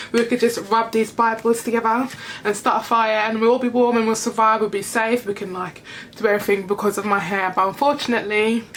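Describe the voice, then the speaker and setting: A woman's fairly high, monotone, flat voice at a very fast pace, with noticeable background noise. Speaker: beauty vlogger. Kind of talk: hair care tutorial vlog. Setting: home bathroom. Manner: rambling, casual.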